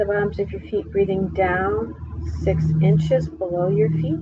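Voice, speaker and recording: Noticeable background noise sits under the recording. A soft-spoken woman talks at a very slow pace. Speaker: meditation guide. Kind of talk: guided meditation. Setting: live stream.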